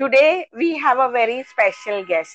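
A woman speaks at a high pitch with lively intonation. The sound is dry and close, with no echo. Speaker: talk show host. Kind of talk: online interview. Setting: live online session.

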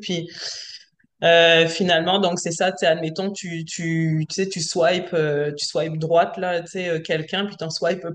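Using an ordinary speaking voice, a woman talks with a fairly low pitch and fairly even intonation. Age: 40s. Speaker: self-employed worker, coaching client. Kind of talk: casual chat.

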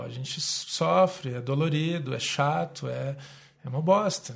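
A man talks at a very slow pace in a fairly high, somewhat breathy voice. Room echo is audible. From Brazil, Curitiba. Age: 30s. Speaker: city councillor and yoga teacher. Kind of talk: casual interview.

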